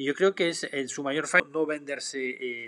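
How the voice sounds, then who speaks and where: At a fairly quick pace, a man with a French accent talks with a fairly high pitch and ordinary pitch variation. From France. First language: French (speaking Spanish). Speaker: photographer. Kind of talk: live stream Q&A; live stream Q&A answer. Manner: hesitant with fillers. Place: home room. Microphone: webcam.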